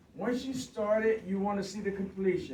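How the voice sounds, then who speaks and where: A high-pitched man talking fairly quickly amid noticeable background noise. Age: 60s. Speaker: construction worker visiting a school class. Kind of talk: classroom talk with questions from children. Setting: second grade classroom.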